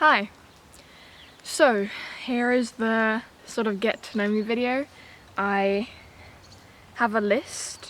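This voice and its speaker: In a British accent, a woman speaks at a very slow pace with long, frequent pauses. Her voice is fairly high and her intonation fairly even. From England. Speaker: homesteading vlogger. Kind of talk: casual chat.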